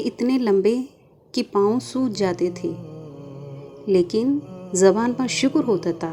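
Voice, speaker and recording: A woman talks at a medium pitch with ordinary pitch variation. Music plays in the background. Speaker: narrator. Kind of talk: religious story narration.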